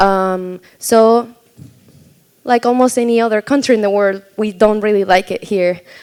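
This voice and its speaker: A woman with a Spanish accent, fairly high-pitched, speaking at a fairly slow pace with fairly even intonation. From Argentina. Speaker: filmmaker. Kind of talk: panel discussion. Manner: halting, many fillers.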